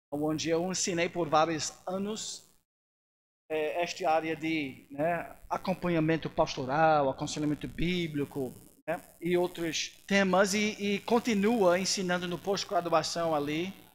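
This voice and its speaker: The recording is very clean, with a silent background. A man with a high pitch talks at a fairly slow pace with fairly even intonation. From United States. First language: English (speaking Portuguese). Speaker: missionary pastor and seminary teacher. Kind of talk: church lecture. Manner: halting, with many fillers.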